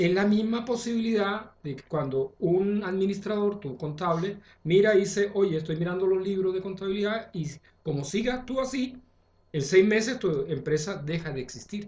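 A man with a high voice speaks at a moderate pace. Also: ordinary pitch variation. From Chile. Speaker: astrologer. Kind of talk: casual chat.

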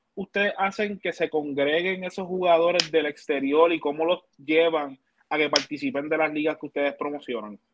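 At a moderate pace, a man talks with a fairly high pitch and ordinary pitch variation. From Puerto Rico, Manatí. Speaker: basketball podcast co-host. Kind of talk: casual chat.

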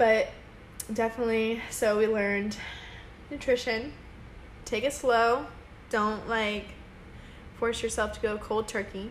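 Amid audible room echo, a woman talks at a fairly slow pace with long, frequent pauses. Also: fairly high pitch for a woman. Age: 20s. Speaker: podcast co-host. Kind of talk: casual chat. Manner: animated.

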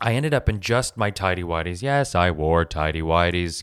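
A man's very deep, low voice with an American accent, animated in tone, at a moderate pace, in a very clean recording with a silent background. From US West Coast, Los Angeles. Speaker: podcast host, teacher, writer, actor. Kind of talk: casual storytelling monologue.

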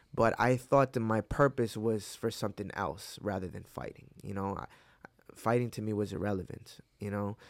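This man has a normal speaking voice, fairly low in pitch with ordinary pitch variation. He keeps a moderate pace, and his loudness swings widely. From upstate New York (Hudson Valley), born in Mexico. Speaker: MMA fighter. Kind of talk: casual interview chat. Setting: in-person studio interview.

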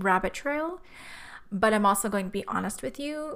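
A woman's voice at a medium pitch. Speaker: podcast host, retreat planner. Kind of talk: solo podcast monologue. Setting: home office.

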